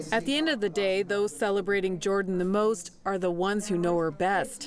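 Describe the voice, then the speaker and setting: An ordinary speaking voice from a woman, medium in pitch, at a moderate pace with lively intonation. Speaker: reporter. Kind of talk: TV news report narration.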